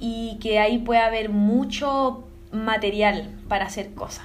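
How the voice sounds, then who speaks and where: A woman with a Chilean accent at a very slow pace, with audible room echo. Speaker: cellist and singer-songwriter. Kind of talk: interview.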